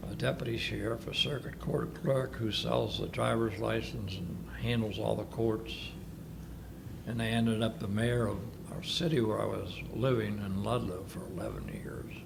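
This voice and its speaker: There is audible room echo and noticeable background noise as a man speaks. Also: moderate pace. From northern Kentucky. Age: 80s+. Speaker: war veteran. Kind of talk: oral history interview. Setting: senior living facility.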